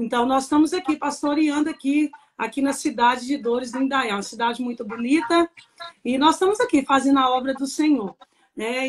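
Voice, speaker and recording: The speaker has a Minas Gerais accent, ordinary pitch variation and a fairly quick pace. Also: woman. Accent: mineiro Brazilian Portuguese. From Minas Gerais, Brazil (Papagaios). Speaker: pastor's wife, pastor. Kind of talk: testimony. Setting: live stream.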